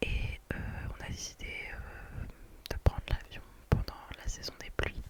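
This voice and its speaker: A woman whispering, with big swings in loudness over noticeable background noise. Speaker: ASMR creator. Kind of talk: ASMR storytime, casual chatty anecdote. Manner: whispered, soft, relaxing.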